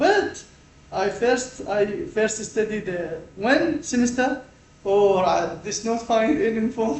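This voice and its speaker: A man talks at a very slow pace with lively intonation and a high pitch. Audible room echo and noticeable background noise are present. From Iraq. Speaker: postgraduate student and NGO environmental worker. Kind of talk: casual conversation. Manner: halting, broken English.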